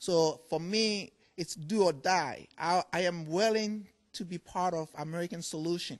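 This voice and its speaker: A man with a Ghanaian accent speaks at a fairly slow pace in a high pitch, with ordinary pitch variation against a quiet background. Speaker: furniture maker. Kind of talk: TV interview.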